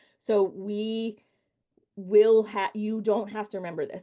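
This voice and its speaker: Her tone is dark and mellow. The setting behind the woman is quiet. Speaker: nonprofit executive director, volunteer trainer. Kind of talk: training presentation.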